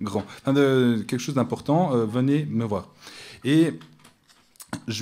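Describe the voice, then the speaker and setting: The man has a medium pitch and ordinary pitch variation at a fairly slow pace. Audible room echo is present. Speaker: academic researcher. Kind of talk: conference talk. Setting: conference room with audience. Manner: hesitant, many fillers. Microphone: too far from the microphone.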